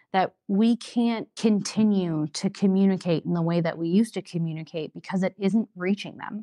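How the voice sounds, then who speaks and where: With an Upper Midwest accent, a woman speaks at a medium pitch in a dark, mellow tone. Her pitch varies in an ordinary way at a moderate pace, over a quiet background. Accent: Upper Midwest American. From Wisconsin Rapids, Wisconsin, USA. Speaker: city council candidate, project manager. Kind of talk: interview answer.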